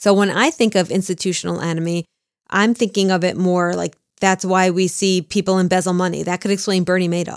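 Very fast and at a medium pitch, a woman with a New Jersey accent speaks with fairly even intonation in a dry, close sound with no echo, in a very clean recording with a silent background. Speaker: true crime podcast co-host. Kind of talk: casual chat.

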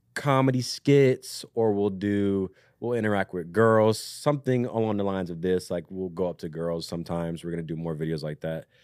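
An ordinary speaking voice: a man with an American accent, fairly low pitch, ordinary pitch variation and a fairly quick pace, in a very clean, silent-background recording with a dry, close sound and no echo. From Southern Maryland, US. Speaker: content creator and musician. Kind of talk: casual chat.

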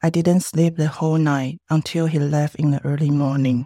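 A woman with a Chinese accent speaks at a moderate pace in a very deep, low pitch. The sound is dry and close with no echo, and the recording is very clean with a silent background. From Taiwan. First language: Mandarin Chinese. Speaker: filmmaker. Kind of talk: testimony. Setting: studio.

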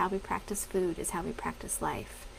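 Against noticeable background noise, a woman of medium pitch speaks with an American accent in a monotone, flat intonation. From Colorado. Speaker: dietitian and podcast host. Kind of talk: casual Facebook live talk.

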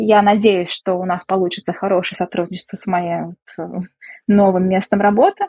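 At a moderate pace, a woman speaks in a medium pitch with monotone, flat intonation. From Russia, Samara. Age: 30s. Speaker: economist and businesswoman, emigrant. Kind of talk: interview.

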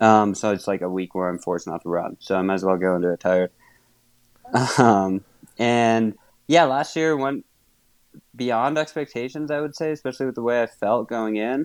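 A medium-pitched man with an American accent, lively intonation, a moderate pace broken by long, frequent pauses, and a dry, close sound with no echo. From Wisconsin. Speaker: trail runner. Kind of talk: interview.

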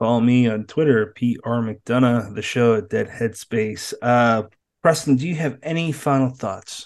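A man's unremarkable speaking voice at medium pitch, with an American accent, ordinary pitch variation and a fairly slow pace over a quiet background. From Massachusetts. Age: 30s. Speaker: podcast host. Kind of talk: casual interview chat.

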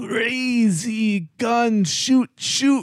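This man's speech is very slow. He uses a put-on character voice. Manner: character impression, manic.

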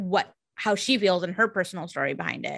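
A woman speaks with a Californian accent at a fairly quick pace. The background is quiet. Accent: Californian American English. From California, San Jose. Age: 30s. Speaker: podcast regular guest. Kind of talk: casual chat.

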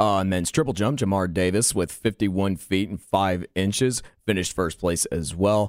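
A plain, everyday voice: a man with an American accent, fairly low pitch, ordinary pitch variation, moderate pace and hardly any pauses. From western North Carolina mountains. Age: 20s. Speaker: college radio co-host. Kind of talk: sports results reading. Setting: studio.

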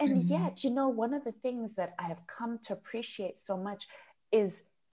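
Her voice has a dark, mellow tone and a fairly high pitch, with very wide pitch swings. The woman speaks at a moderate pace with a Zimbabwean accent. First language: Shona. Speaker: entrepreneur and coach. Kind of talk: interview conversation. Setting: podcast.

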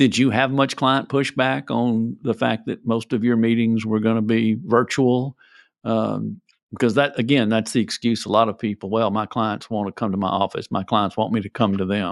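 Moving at a moderate pace, this is an unremarkable speaking voice. Its intonation holds fairly even. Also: man, medium pitch for a man. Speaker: podcast host, tax expert. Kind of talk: casual interview chat.

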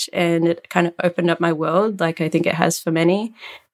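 Speaking at a moderate pace with an Australian accent, a woman uses a fairly low voice and flat, monotone intonation. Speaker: fashion tech CEO and designer. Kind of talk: interview.

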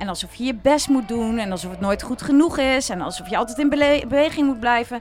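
A woman talks at a very fast pace with a high pitch, ordinary pitch variation and hardly any pauses, over noticeable background noise. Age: 40s. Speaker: happiness coach. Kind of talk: casual chat.

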